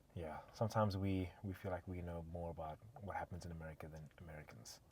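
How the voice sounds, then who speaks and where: A man's somewhat breathy voice, very deep and low in pitch, with fairly even intonation at a very fast pace. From South Africa, Durban. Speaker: podcast co-host. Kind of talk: casual chat.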